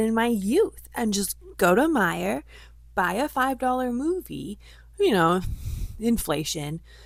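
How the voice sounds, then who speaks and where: A woman talks at a very slow pace with a Midwestern accent and lively intonation. The recording is very clean, the background silent. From US Midwest. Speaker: vlogger. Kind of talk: casual vlog monologue. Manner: chatty.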